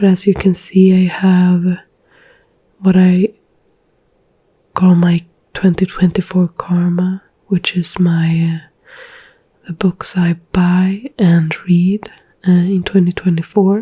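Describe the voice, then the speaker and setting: Soft-spoken and very slow, the voice leaves long, frequent pauses. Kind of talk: ASMR book chat and screen tour, soft spoken. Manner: soft-spoken, ASMR.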